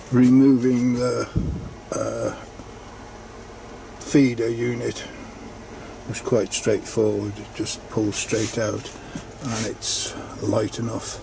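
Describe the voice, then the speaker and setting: A man talks at a very slow pace, leaving long, frequent pauses. His tone is relaxed, and there is noticeable background noise. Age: 70s. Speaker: hobbyist maker, 3D printing. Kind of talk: unboxing tutorial narration. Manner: relaxed, hesitant with fillers.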